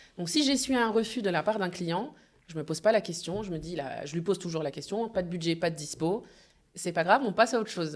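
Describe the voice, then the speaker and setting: Fairly quick speech from a woman at medium pitch, with ordinary pitch variation and big swings in loudness. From France, Normandy (Le Havre). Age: 30s. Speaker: event agency founder. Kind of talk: podcast interview. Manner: hesitant, many fillers.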